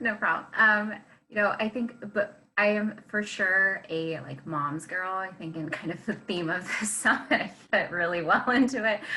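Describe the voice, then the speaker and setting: Against noticeable background noise, a woman talks at a moderate pace with a medium pitch and ordinary pitch variation. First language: not English. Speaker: policy analyst, panelist. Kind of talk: panel discussion.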